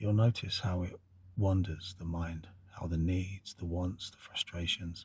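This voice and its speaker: A man speaks at a fairly slow pace in a very deep, low pitch, somewhat breathy, with a monotone, flat intonation. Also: big swings in loudness. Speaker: occult channel host. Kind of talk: spiritual monologue. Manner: reflective, slow.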